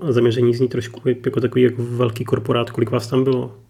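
His pitch is medium for a man. The delivery stays monotone and flat throughout. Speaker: podcast host. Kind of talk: interview.

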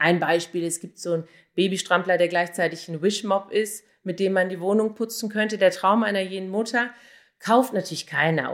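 With an unremarkable speaking voice, a woman talks at a fairly quick pace and fairly low pitch on a very clean recording with a silent background. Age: 40s. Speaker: online marketer and blogger. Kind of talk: interview answers.

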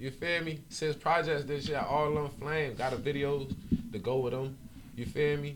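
In an American accent, a man with a fairly high voice speaks at a moderate pace and with fairly even intonation. Audible room echo surrounds him. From Miami-Dade area, South Florida. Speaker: rapper. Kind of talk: casual interview chat.

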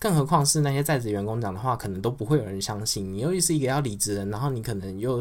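His intonation is lively. The man's pitch is medium. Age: 30s. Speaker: podcast host. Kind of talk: casual livestream chat.

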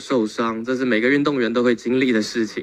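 At a fairly quick pace, this is an unremarkable speaking voice. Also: man. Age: 20s. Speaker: tai chi athlete. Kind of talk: testimony.

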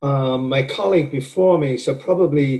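In a Welsh accent, a man speaks at a fairly slow pace with a fairly high pitch, ordinary pitch variation, and a dark, mellow, somewhat breathy tone. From Wales. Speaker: professor. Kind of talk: interview.

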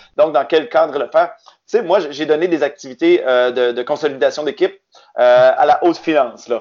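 This man has a fairly high pitch. He speaks with a Quebec accent. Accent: Québécois. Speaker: game co-creator. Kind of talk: casual interview.

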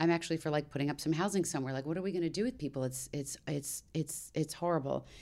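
A woman with a very deep, low pitch, vocal fry and an American accent, an animated tone, ordinary pitch variation, a very fast pace and hardly any pauses. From Maryland, Washington DC area, US. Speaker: voice actor and actress. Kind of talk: casual podcast interview chat. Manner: animated, talkative, laughs often.

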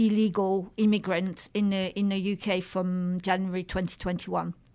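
A woman at medium pitch speaks with a French accent on a very clean recording with a silent background. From France. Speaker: charity chief executive. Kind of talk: radio interview. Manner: halting, with many repetitions.

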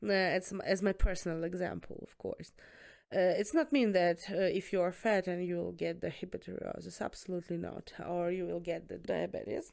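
A woman talks at a fairly quick pace with a strong Eastern European accent. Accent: thick Eastern European. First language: Eastern European language, not English. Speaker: student nurse. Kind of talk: casual chat.

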